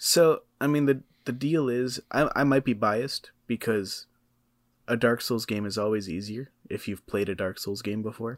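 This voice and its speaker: A man has an unremarkable speaking voice, medium in pitch with ordinary variation. The recording is very clean, with a silent background. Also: moderate pace. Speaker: podcast co-host. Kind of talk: casual chat. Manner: laid-back.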